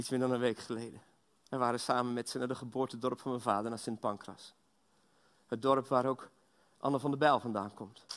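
The man speaks at a fairly quick pace in a monotone, flat intonation. Long, frequent pauses break up his speech. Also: medium pitch for a man. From Belgium. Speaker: guest preacher. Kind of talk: sermon. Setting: church. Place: church.

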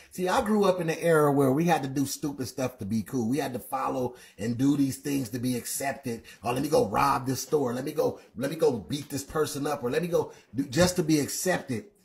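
Somewhat breathy, the voice has ordinary pitch variation against a quiet background. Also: man. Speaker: livestream Bible teacher. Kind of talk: sermon-like livestream commentary. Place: home room.

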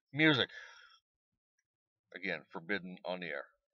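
A man's voice, dry with no echo, against a quiet background. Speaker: amateur radio operator. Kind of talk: tutorial. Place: car. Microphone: phone near.

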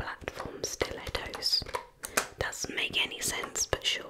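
Whispering at a very slow pace, a woman speaks over loud background noise. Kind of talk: ASMR roleplay, soft spoken. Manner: judgy whisper, dry sarcasm. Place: home room.

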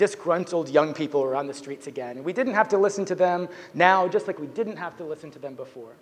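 A man's high voice at a fairly quick pace, with ordinary pitch variation. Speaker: conference speaker. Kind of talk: lecture. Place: stage.

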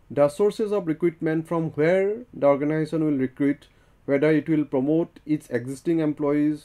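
Against a quiet background, a man talks at a moderate pace with a dark, mellow tone and fairly even intonation. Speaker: lecturer. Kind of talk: lecture. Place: studio. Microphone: lapel.

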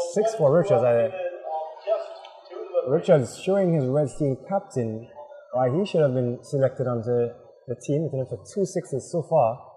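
Music plays behind a man with a fairly high-pitched voice. His intonation is lively. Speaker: cricket commentator. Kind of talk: live sports commentary. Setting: outdoors at cricket ground. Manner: animated, quick play-by-play.

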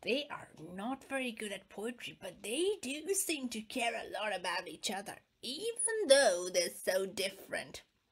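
In a put-on character voice, a woman speaks at a moderate pace with a high pitch, very wide pitch swings and big swings in loudness. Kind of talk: children's read-aloud. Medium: read story. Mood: fond, wry.

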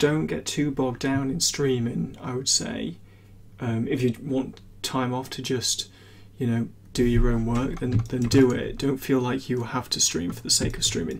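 A man at a moderate pace, with ordinary pitch variation and light background noise. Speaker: 3D environment artist streamer. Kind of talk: casual stream chat.

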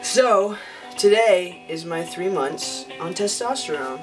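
Clear music plays behind a man speaking with ordinary pitch variation. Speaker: vlogger. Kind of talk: casual talk to camera. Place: home room. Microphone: camera far.

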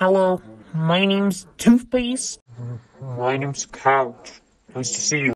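Putting on a character voice, a woman talks fairly slowly at a fairly low pitch, with long, frequent pauses. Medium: solo performance.

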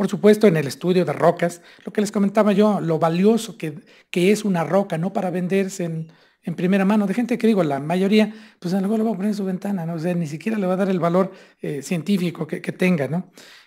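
Against a quiet background, a man speaks very fast at a high pitch in a dark, mellow tone. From Mexico, Hidalgo (Pachuca area); Hidalgo, Mexico. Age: 50s. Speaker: state tourism official; presenter. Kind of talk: lecture. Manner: animated. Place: hall. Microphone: podium.

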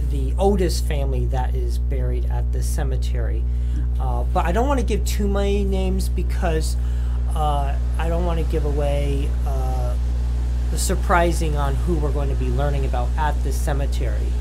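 Speech comes at a moderate pace with music in the background. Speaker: interview guest. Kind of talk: interview answer. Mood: cheerful, playful. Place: home room.

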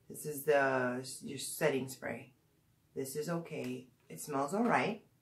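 The speaker is female. She talks rather slowly. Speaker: beauty vlogger. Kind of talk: casual product review vlog. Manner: hesitant, many fillers. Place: home room. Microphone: phone near.

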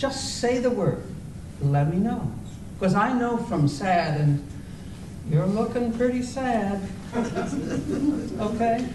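Noticeable noise sits behind speech that moves fairly slowly, broken by long, frequent pauses. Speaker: amateur actor playing a waitress. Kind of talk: scripted comedy dialogue. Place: hall. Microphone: camera far.

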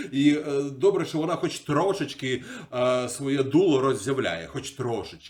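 An ordinary speaking voice from a man, fairly high in pitch, at a fairly slow pace with ordinary pitch variation. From Ukraine, Kyiv. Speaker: video blogger. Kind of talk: casual chat. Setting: video call.

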